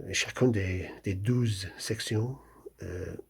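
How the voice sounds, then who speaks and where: Speaking very slowly with a strong English accent, a man uses a fairly low, somewhat breathy voice with ordinary pitch variation on a very clean recording with a silent background. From England. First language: English (speaking French). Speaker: novelist. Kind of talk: author presenting his book. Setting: video recording, wearing a hat. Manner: halting, many hesitations and repetitions.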